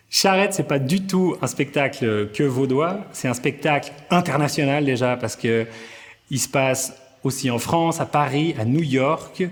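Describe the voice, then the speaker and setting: A man talks fairly slowly, with music behind him. His voice sits fairly high and varies in pitch an ordinary amount. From Vaud, Switzerland. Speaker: comedian. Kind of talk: interview answer. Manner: energetic.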